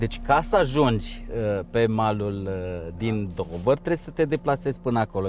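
A plain, everyday voice with lively intonation. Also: man. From Romania. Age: 40s. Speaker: endurance swimmer. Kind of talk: interview.

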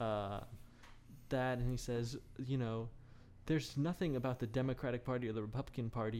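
Over music in the background, a man talks at a very fast pace, his medium pitch showing ordinary variation. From United States. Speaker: comedy podcast host. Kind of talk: casual chat.

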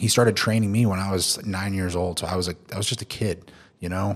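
A man talks in an ordinary speaking voice, pitched fairly low, with fairly even intonation at a moderate pace. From Oklahoma, US. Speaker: fitness influencer and trainer. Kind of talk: podcast interview.

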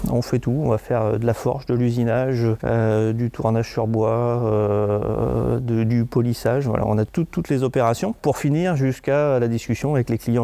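Speaking at a moderate pace, the man has a medium-pitched voice, very even loudness and fairly even intonation. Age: 50s. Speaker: company director. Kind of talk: interview. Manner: halting.

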